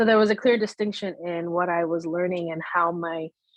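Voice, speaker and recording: Speaking at a fairly quick pace, a woman with a Spanish accent uses a fairly low pitch and fairly even intonation. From United States, Spanish-speaking household. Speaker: bilingual Spanish teacher. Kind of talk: interview conversation. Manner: casual, many fillers (um, you know).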